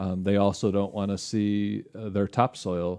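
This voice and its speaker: A man with a Michigan accent speaks fairly slowly in a fairly low, dark, mellow voice with monotone, flat intonation over a quiet background. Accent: Midwestern American (Michigan). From western Michigan (Holland). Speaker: lake research scientist. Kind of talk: casual interview. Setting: studio.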